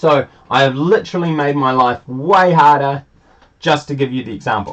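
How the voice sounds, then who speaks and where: A man speaks with a normal speaking voice. His pace is moderate and his pitch variation ordinary. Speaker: school teacher. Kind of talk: tutorial. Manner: casual, thinking aloud.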